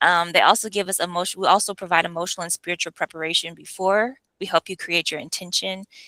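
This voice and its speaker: In an American accent, a woman with a fairly low pitch and vocal fry speaks very fast in a bright, sharp tone, the sound dry and close with no echo and the recording very clean with a silent background. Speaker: retreat facilitator. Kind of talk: information session presentation. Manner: casual, conversational.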